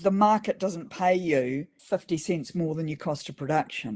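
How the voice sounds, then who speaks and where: A woman's fairly low voice with a New Zealand accent, in a very clean recording with a silent background. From New Zealand, Auckland. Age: 60s. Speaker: farmer. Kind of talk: interview. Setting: podcast interview.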